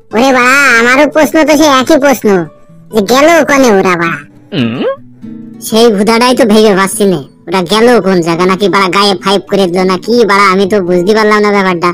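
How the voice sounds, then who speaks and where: The speaker uses a cartoonish character voice. Faint music plays in the background. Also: man, high pitch for a man, fairly quick pace. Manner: crude, swearing.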